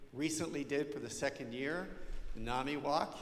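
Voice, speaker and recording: A man talks at a moderate pace with a fairly high pitch. The room echo is audible, and there is noticeable background noise. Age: 60s. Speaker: parish ministry leader. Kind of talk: parish presentation.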